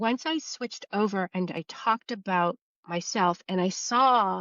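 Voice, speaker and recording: An unremarkable speaking voice from a woman, medium in pitch, with lively intonation. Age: 60s. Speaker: YouTube creator, former ad agency art director. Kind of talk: interview. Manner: casual, reflective.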